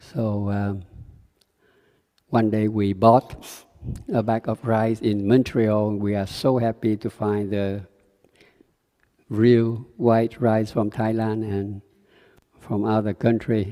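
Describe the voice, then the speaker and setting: In a Vietnamese accent, a man speaks at a very slow pace in a dark, mellow tone, his flat, monotone intonation broken by long, frequent pauses. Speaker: Buddhist meditation teacher. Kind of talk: dharma talk. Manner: halting.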